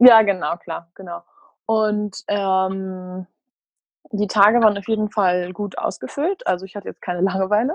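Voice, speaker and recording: A plain, everyday voice from a woman at medium pitch, moderate in pace, with big swings in loudness. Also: fairly even intonation. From Münster, Germany. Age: 20s. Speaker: former retreat participant, student and freelance journalist. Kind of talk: casual interview.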